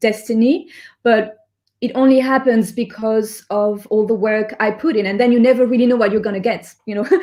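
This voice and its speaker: With a French accent, a woman speaks at a fairly high pitch. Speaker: singer-songwriter. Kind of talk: interview. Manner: halting.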